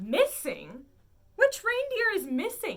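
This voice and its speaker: A woman uses a squeaky, put-on character voice at an extremely high pitch. She speaks at a fairly slow pace, with very wide pitch swings. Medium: read story. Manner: jolly, hearty.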